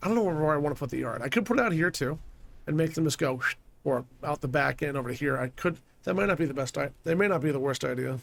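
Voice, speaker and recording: A man speaks at a very fast pace with vocal fry. His pitch is fairly high, and his intonation is lively. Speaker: video game streamer. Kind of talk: gameplay commentary.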